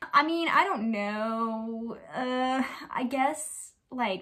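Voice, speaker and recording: A woman's bright, sharp tone, fairly high in pitch with ordinary variation, over a quiet background. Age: 20s. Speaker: YouTuber; lifestyle vlogger. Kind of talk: casual chat. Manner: animated. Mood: relaxed, friendly. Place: home room. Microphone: phone near.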